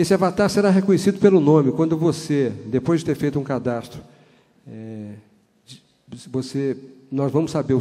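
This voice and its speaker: A man's fairly high-pitched voice, dark and mellow in tone, at a fairly quick pace. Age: 60s. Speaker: conference speaker. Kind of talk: conference talk. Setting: auditorium with audience.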